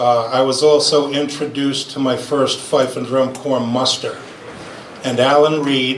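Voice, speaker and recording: A man speaks at medium pitch in a flat monotone with a Rhode Island accent. Noticeable background noise and audible room echo fill the recording. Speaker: fifer and former army musician. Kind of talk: memorial speech. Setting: gathering after lunch with audience. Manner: halting, many fillers.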